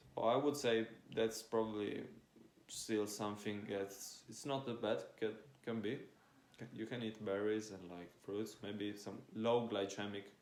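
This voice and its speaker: Amid audible room echo, a man talks at a fairly slow pace with a fairly low pitch and monotone, flat intonation. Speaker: fitness influencer. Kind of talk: casual monologue.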